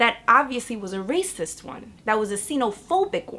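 A woman with a New York accent talks at a moderate pace in a fairly high pitch. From Bronx, New York. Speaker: educator and community organizer. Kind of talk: interview answer. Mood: earnest, reflective. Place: home room.

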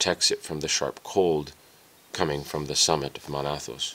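The delivery moves at a moderate pace. Its intonation stays fairly even. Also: man. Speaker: audiobook narrator.

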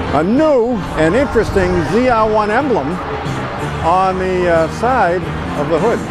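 The sound is dry, with no echo. Loud music plays in the background. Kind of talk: casual vlog commentary. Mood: enthusiastic, admiring. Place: street. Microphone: phone near.

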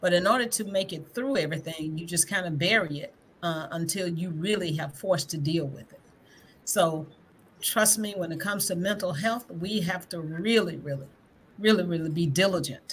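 With a Southern US accent, a woman speaks in a fairly low pitch, somewhat breathy, with ordinary pitch variation and big swings in loudness over light background noise. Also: moderate pace. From Greenwood, Mississippi; Mississippi. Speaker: school board candidate; guest, candidate. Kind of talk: livestream panel discussion. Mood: earnest, personal. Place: home room.

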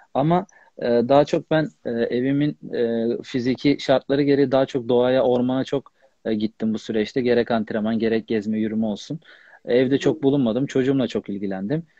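Over a quiet background, a man speaks at a moderate pace with ordinary pitch variation, the sound dry with no echo. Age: 30s. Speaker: professional footballer; guest. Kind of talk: casual interview. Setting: Instagram live video call. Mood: calm, somewhat aggrieved. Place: home room. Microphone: unstable internet connection; earbuds.

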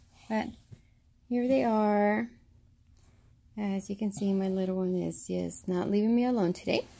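This woman speaks at medium pitch with a dark, mellow tone and vocal fry. Her pace is fairly slow and her intonation fairly even.

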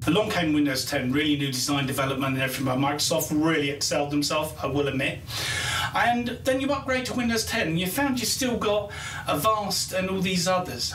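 Audible room echo and light background noise surround the recording. A man speaks at a fairly quick pace. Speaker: IT analyst show host. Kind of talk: casual explainer commentary.

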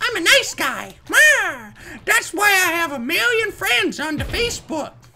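A put-on character voice at an extremely high pitch, moderate pace and long, frequent pauses, over noticeable background noise. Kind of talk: let's play commentary. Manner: cartoonish.

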